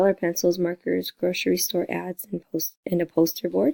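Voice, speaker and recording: In a dark, mellow tone, a woman talks at a moderate pace with fairly even intonation. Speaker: teacher presenting a lesson plan. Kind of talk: lesson plan presentation. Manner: halting, many fillers.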